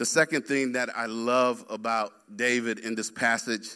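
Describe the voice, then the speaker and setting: At a fairly slow pace and medium pitch, a man talks in an unremarkable speaking voice with fairly even intonation, on a very clean recording with a silent background. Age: 50s. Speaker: pastor. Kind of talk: sermon.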